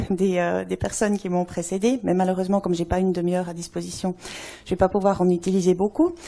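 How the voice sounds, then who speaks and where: Medium pitch from a woman, with noticeable background noise. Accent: Swiss. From Switzerland. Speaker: anthropologist. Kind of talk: conference talk. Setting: stage with audience.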